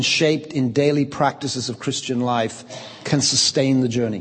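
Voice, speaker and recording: Noticeable room echo and clear background noise around a man's speech at a middling speed. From England, Liverpool. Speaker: pastor and church leadership trainer. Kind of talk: lecture delivered through an interpreter. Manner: speaks in short segments paused for interpretation.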